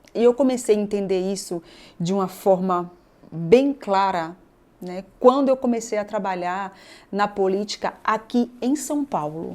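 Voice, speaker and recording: Recorded very cleanly against a silent background, a woman talks at medium pitch with ordinary pitch variation in an unremarkable speaking voice. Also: fairly slow pace. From Bahia, Brazil (Northeast). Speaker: state government secretary, politician. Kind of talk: interview conversation.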